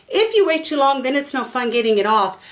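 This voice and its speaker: Noticeable background noise sits behind a woman with an American accent who talks at a fairly quick pace and a high pitch. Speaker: resin artist and craft video maker. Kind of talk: tutorial. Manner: fast; casual, chatty with fillers.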